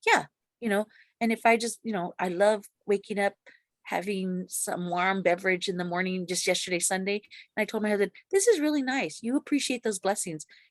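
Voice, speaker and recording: With an American accent, a woman speaks at a medium pitch and a fairly quick pace, with ordinary pitch variation, in a dry, close sound with no echo and a quiet background. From US, grew up in city housing projects. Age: 60s. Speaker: ex-Jehovah's Witness sharing her story. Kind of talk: interview testimony. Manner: halting, many fillers and restarts.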